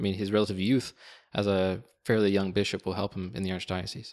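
In a very clean recording with a silent background, a plain, everyday voice speaks at a fairly quick pace. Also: man. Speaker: seminarian podcast co-host. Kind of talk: interview.

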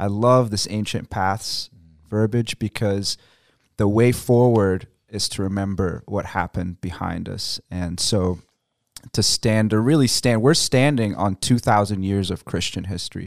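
A man with an American accent speaks at a fairly slow pace, his loudness swinging widely and his pitch varying in an ordinary way. The recording is very clean, with a silent background. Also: fairly low pitch for a man. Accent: American-sounding English. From Egypt. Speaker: missionary. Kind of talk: radio interview. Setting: studio.

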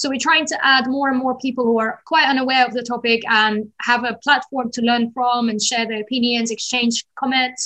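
Speaking with a slight London accent, a woman uses a high pitch, a bright, sharp tone, fairly even intonation and a moderate pace. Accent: London-tinged English. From Azerbaijan. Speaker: founder of a feminist platform. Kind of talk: interview.

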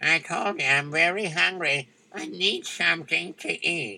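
A man does a put-on character voice, pitched high and delivered at a moderate pace. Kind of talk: comic folk-tale acting. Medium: audio drama. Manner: whining, pitiful.

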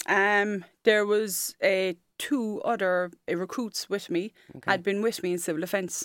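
In a Cork accent, a woman speaks at a moderate pace with a fairly high pitch and ordinary pitch variation. The sound is dry and close with no echo, and the recording is very clean with a silent background. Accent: Cork Irish. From Ireland, Cork. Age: 40s. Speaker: firefighter. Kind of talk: interview. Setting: studio.

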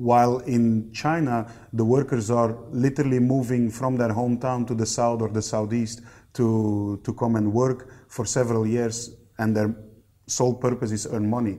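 A man speaks at a medium pitch in a dark, mellow tone with monotone, flat intonation. The recording is very clean, with a silent background. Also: moderate pace. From Belgium (East Flanders). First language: Dutch. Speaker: factory general manager. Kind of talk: interview.

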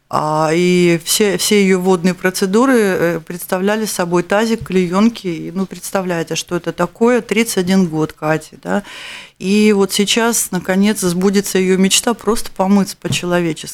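A woman speaks in an ordinary speaking voice at a medium pitch. Her pace is fairly slow and her intonation fairly even. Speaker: radio host. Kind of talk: charity radio show. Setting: studio. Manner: warm.

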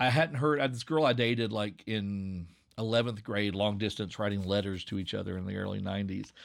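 In an Appalachian accent, a man speaks at a moderate pace with fairly low pitch and ordinary pitch variation, on a very clean recording with a silent background. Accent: Appalachian Southern. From Southwest Virginia, Appalachia. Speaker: podcast creator and English teacher. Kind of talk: casual interview chat.

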